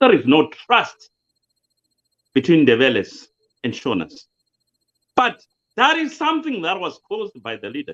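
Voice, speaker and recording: A man with a Zimbabwean accent speaks at a moderate pace, with long, frequent pauses and big swings in loudness. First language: Shona. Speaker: political commentator. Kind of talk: interview.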